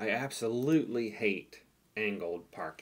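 A man talks at a fairly low pitch. His pitch variation is ordinary. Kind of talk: tutorial.

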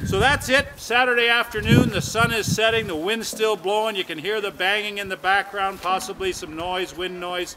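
A man keeps a moderate pace as loud background noise carries on around him. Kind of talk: promotional talk to camera. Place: open country.

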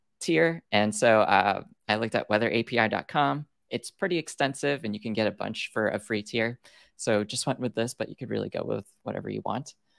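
Vocal fry runs through this fairly quick delivery with lively intonation, recorded dry with no echo against a quiet background. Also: man. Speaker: presenter. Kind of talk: tutorial. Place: home room.

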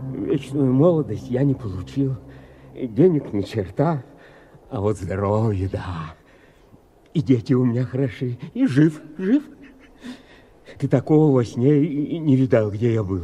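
A whiny, put-on character voice from a man, medium-pitched with lively intonation, at a moderate pace with long, frequent pauses. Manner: pleading, whining.

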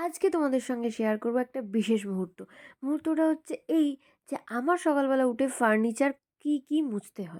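A woman speaks with very wide pitch swings. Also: dry, close sound with no echo, very clean recording, silent background. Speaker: housewife vlogger. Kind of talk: vlog voiceover.

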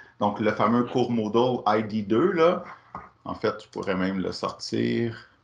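A man at a very slow pace, lively in intonation, over light background noise. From Quebec. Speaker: workshop facilitator. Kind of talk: online workshop presentation. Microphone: video call.

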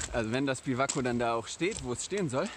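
Noticeable background noise sits under a man's dry, echo-free voice at a moderate pace. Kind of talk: casual vlog chat. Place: open country. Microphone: phone near.

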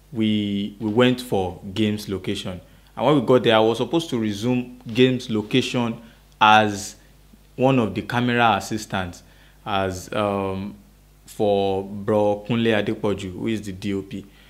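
A man with a plain, everyday voice, fairly low in pitch, with fairly even intonation and a fairly slow pace. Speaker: actor guest. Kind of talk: interview answer. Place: home room.

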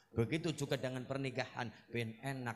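A man speaks in a fairly high pitch. Light background noise is present. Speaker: Islamic preacher; preacher. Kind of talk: humorous religious sermon. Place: stage.

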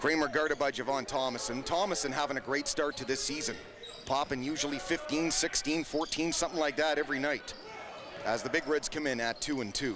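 A man talks at a fairly quick pace with fairly even intonation. The sound is dry with no echo, and there is noticeable background noise. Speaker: play-by-play announcer. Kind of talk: sports commentary. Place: booth.

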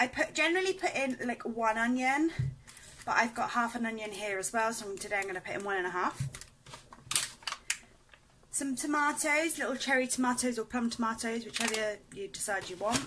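Noticeable background noise behind a woman talking at a fairly quick pace. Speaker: home cooking vlogger. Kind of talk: casual cooking tutorial. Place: kitchen. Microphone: phone near.

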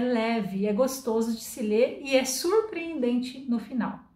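A woman's voice with audible room echo. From Brazil. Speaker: Portuguese teacher and book reviewer; Portuguese teacher, book reviewer. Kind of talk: book review monologue. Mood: warm, lightly humorous. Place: home room.

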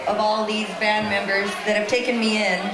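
Music plays clearly in the background. Over it, a woman speaks. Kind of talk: stage banter. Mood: happy, grateful. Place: stage. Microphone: camera far.

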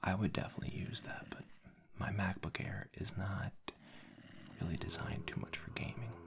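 Someone whispers at a moderate pace, leaving long, frequent pauses. Noticeable background noise sits behind the voice. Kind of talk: ASMR gameplay commentary. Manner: soft-spoken; casual, relaxed.

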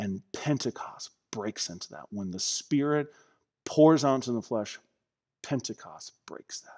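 A man's fairly slow speech with lively intonation and big swings in loudness, over a quiet background. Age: 30s. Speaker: pastor. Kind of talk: sermon. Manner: animated. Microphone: headset.

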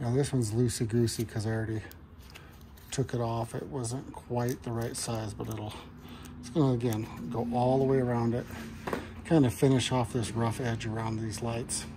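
A man stops often and at length while noticeable background noise continues behind him. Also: fairly even intonation, moderate pace. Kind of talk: casual vlog chat. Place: garage. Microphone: phone near.

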